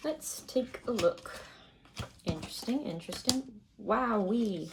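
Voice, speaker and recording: A woman speaks quietly and fairly slowly in a fairly high pitch with lively intonation, amid noticeable background noise. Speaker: tarot reader. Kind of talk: tarot reading.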